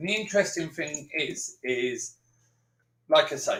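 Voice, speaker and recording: A man with a London accent talks at a moderate pace in a fairly high pitch with vocal fry and very wide pitch swings. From East London, England. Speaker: science educator. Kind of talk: live stream demo. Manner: animated.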